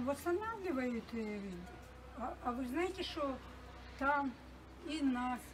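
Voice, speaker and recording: A woman speaks in a high pitch with lively intonation. Noticeable background noise can be heard. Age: 70s. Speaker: war-affected resident. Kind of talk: street interview. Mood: distressed, grieving loss of home. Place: street.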